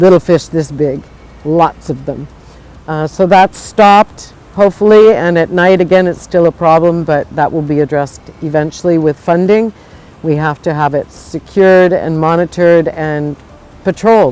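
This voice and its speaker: The speech has an American accent, a moderate pace and ordinary pitch variation. Noticeable background noise is present. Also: woman, fairly low pitch for a woman. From United States. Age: 60s. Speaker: coral reef restorer. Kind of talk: interview answer.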